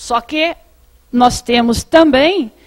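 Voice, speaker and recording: A woman speaks at a high pitch with ordinary pitch variation, in a dry, close sound with no echo. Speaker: tax auditing official. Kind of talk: panel presentation. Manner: halting.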